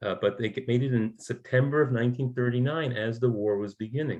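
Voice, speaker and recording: Using a medium pitch with ordinary pitch variation, a man speaks at a moderate pace. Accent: American. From New York. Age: 60s. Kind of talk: talk show interview. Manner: halting, many repetitions and fillers.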